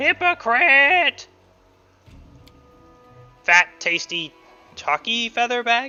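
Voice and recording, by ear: With faint music in the background, a put-on character voice at a fairly high pitch moves at a very slow pace, making very wide pitch swings and long, frequent pauses.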